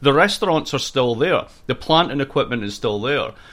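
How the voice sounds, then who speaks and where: With a slight Scottish accent, a man speaks in a fairly high pitch with lively intonation on a very clean recording with a silent background. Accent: Scottish-American, Scottish tinge. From Scotland. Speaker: political science professor. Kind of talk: interview.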